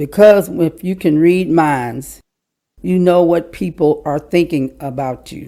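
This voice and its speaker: With a Kentucky accent, a woman speaks at a fairly slow pace in a very deep, low pitch, her tone dark and mellow and her intonation fairly even. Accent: Southern US (Kentucky). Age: 60s. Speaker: podcast guest, department store worker. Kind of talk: casual interview chat.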